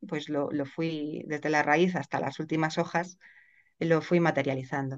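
A woman speaks in an unremarkable speaking voice. Her pace is fairly slow and her intonation fairly even. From Spain, Madrid. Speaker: lawyer and writer. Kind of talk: interview conversation.

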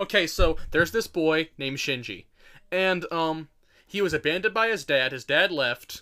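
On a very clean recording with a silent background, a man with a fairly high pitch and a bright, sharp tone talks at a moderate pace. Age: young. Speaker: podcast co-host. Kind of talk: casual chat. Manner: animated.

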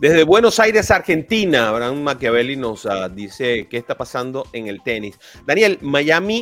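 A man speaks at a moderate pace and a fairly high pitch, his pitch swinging very widely. His loudness rises and falls sharply on a very clean recording with a silent background. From Venezuela. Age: 50s. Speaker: sports podcast host. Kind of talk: casual sports talk.

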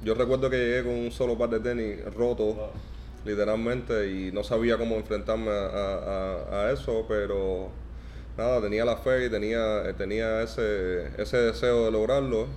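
A man speaks with a Cuban accent at a fairly slow pace. Room echo is audible. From Cuba, Santa Clara. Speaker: professional basketball player. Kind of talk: interview. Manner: halting, many repetitions.

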